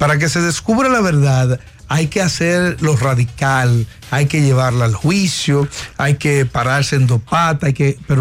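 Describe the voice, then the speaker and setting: Music plays in the background as the speech moves at a fairly slow pace. The loudness stays very even. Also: man. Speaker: pastor and radio co-host. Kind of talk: casual chat.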